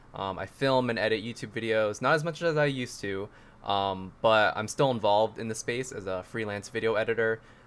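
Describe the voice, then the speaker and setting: A man with a plain, everyday voice talks at a fairly quick pace, at a medium pitch with ordinary pitch variation. The recording is very clean, with a silent background. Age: 20s. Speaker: content creator. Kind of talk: casual chat.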